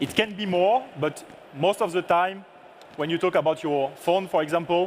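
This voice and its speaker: This man talks with a French accent at a high pitch and a moderate pace. His pitch varies in an ordinary way, and background noise is noticeable. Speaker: product manager. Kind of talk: lecture.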